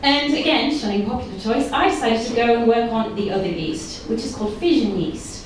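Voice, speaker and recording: A woman talks at a fairly quick pace with lively intonation and a fairly high pitch. Noticeable background noise runs under her voice. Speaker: geneticist and stand-up comedian. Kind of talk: stand-up comedy set. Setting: live comedy club.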